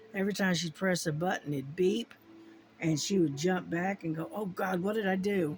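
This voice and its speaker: A woman with an American accent at medium pitch and moderate pace, music in the background. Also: ordinary pitch variation. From US, army family moving around. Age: 60s. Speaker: crafting YouTuber. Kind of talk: casual chat. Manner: halting, many fillers.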